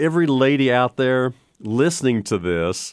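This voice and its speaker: A man talks at medium pitch on a very clean recording with a silent background. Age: 60s. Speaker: financial planner radio host. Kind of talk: radio talk show monologue. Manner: halting.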